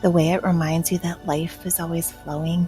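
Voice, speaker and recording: Music plays in the background as a woman speaks in a fairly low voice with a soothing, gentle tone. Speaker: hypnotherapist, life coach. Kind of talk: guided hypnosis meditation. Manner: soothing, slow, gentle.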